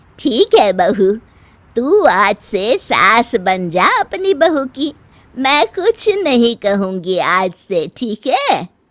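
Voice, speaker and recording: Using a cartoonish character voice, a woman speaks very slowly at a fairly high pitch with very wide pitch swings, in a dry, close sound with no echo. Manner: calm, knowing.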